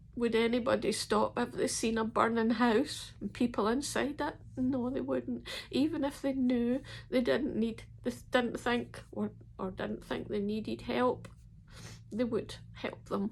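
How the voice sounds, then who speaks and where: A woman with a Scottish accent at a fairly slow pace. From Scotland. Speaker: ex-member telling her story. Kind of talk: personal testimony to camera.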